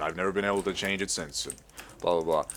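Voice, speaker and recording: This is a man speaking with an American accent. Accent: American-sounding. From lives in Australia. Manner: casual, profane, rambling.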